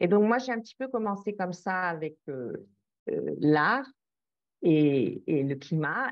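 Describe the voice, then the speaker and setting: The speech moves at a very slow pace, with very wide pitch swings and long, frequent pauses. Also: woman, fairly low pitch for a woman. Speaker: project founder, climate and art curator. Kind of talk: interview. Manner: halting, many hesitations.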